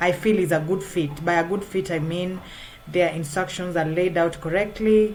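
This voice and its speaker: A woman speaks with a non-native accent at a fairly low pitch, using ordinary pitch variation. Audible room echo surrounds her voice. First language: not English. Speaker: freelance writer. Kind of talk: tutorial. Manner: halting, many fillers.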